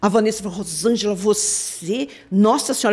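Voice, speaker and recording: A quiet background surrounds this recording. The woman in it speaks at a moderate pace. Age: 60s. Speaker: police forensic expert; guest. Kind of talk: live interview. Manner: animated. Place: studio. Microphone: studio mic.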